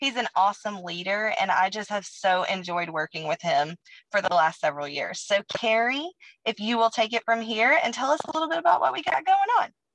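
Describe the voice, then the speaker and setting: A woman talks at a fairly quick pace with very wide pitch swings. The sound is dry with no echo. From Alabama. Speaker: cheer coach and network marketing distributor. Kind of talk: testimony. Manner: energetic. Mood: upbeat, enthusiastic. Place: home room. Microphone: video call.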